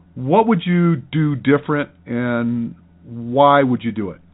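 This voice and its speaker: A man at medium pitch talks in a normal speaking voice. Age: 60s. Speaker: running podcast host, running coach. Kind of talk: interview.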